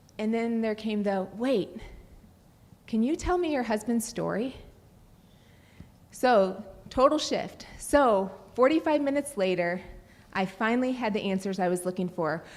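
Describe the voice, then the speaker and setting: A woman speaks at a fairly high pitch with lively intonation. She leaves long, frequent pauses. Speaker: nurse sharing personal testimony. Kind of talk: testimony. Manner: fast.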